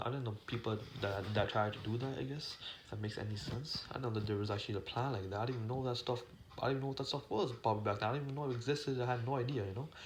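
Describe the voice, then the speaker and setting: Mumbling and somewhat breathy, a man speaks at a very fast pace with a medium pitch, with audible room echo. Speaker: YouTuber vlogger. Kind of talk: casual monologue vlog. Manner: halting, many fillers and restarts.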